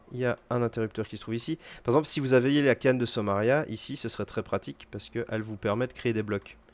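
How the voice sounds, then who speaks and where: A man with a French accent talks very fast at a medium pitch, using ordinary pitch variation. The sound is dry and close, with no echo. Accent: poor English pronunciation, self-remarked. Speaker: video game streamer. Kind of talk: gameplay tutorial commentary. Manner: casual, hesitant with fillers.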